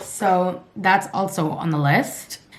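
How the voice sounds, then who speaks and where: A woman speaks with a fairly low pitch. Noticeable background noise runs underneath. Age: 20s. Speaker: vlogger. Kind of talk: casual vlog talk to camera. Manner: casual, filler-heavy.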